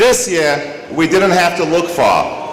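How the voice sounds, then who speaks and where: A high-pitched man with lively intonation, amid audible room echo and noticeable background noise. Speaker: award presenter. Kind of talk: award presentation speech.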